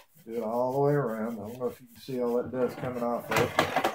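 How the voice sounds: A man speaks fast at a medium pitch. His intonation is fairly even.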